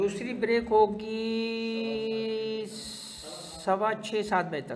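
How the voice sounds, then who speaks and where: A man's high-pitched, flat monotone, with audible room echo and noticeable background noise. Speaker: tax teacher. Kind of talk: lecture. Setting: classroom with online students.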